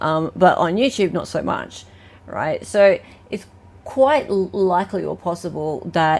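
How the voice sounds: A woman's fairly low, slightly mellow voice at a fairly slow pace, with an Australian accent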